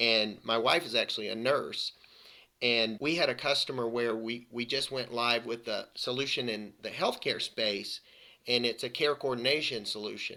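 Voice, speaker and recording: A man in a Southern US accent at a moderate pace. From US South. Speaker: IT consulting practice director. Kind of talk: podcast interview. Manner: repetitive false starts.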